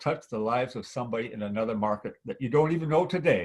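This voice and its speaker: Somewhat breathy and animated, a man at medium pitch speaks at a very fast pace with lively intonation. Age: 70s. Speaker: network marketing veteran. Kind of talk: testimony.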